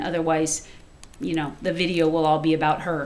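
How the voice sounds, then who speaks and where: Noticeable background noise and audible echo from the room surround a female voice. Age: 40s. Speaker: home cook and cookbook author. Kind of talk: cooking demonstration. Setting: home kitchen. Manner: chatty, talkative.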